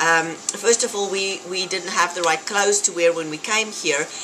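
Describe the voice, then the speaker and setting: A woman speaks in a South African accent over noticeable background noise. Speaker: fitness vlogger. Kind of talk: casual vlog talk. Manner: animated.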